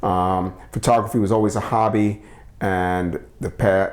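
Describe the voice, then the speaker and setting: With an American accent, a man of fairly low pitch speaks at a moderate pace. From New York City. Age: 60s. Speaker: photographer. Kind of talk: interview. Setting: living room at home. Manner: halting, many fillers.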